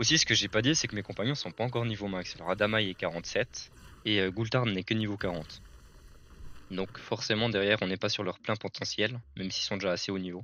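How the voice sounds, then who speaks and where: A man talks at a fairly quick pace. His pitch is fairly low and his intonation fairly even. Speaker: gaming content creator. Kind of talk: gameplay commentary. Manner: fast.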